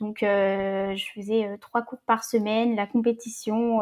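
At a very slow pace, a woman speaks with a fairly high pitch and fairly even intonation. Her tone is dark and mellow. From Brittany, France (Rennes area). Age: 20s. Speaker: community manager. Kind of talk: casual interview. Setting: remote recording. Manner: hesitant, many fillers.

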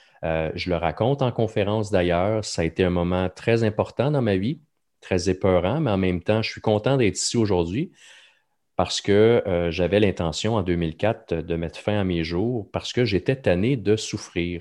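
Fairly low male pitch with ordinary variation, at a moderate pace, against a quiet background. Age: 40s. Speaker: podcast host, mental health speaker. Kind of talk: casual chat.

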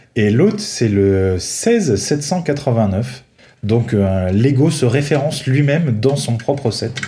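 Speaking at a very slow pace, a man with a medium pitch uses lively intonation in a room with audible echo. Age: 30s. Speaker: Lego fan reviewing sets. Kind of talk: casual chat.

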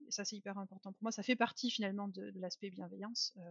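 A woman speaks in a normal speaking voice at a medium pitch. Her intonation stays fairly even. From France. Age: 30s. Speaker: marketing employee of a dating platform. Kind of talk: casual interview.

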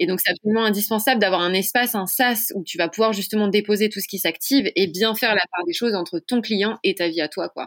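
With a normal speaking voice pitched fairly high, a woman talks at a fairly quick pace with hardly any pauses, in a dry, close recording with no echo. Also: ordinary pitch variation. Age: 20s. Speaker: couple therapist. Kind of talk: casual chat.

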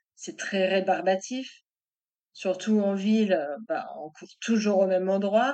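Speaking at a very slow pace with long, frequent pauses, a woman with a medium pitch shows ordinary pitch variation and big swings in loudness. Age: 40s. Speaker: web marketer and author. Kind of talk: interview testimony.

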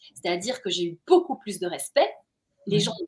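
Her tone is animated as this woman speaks at a moderate pace. Her pitch is medium, with ordinary variation. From Belgium, Brussels. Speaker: journalist and author. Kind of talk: interview.

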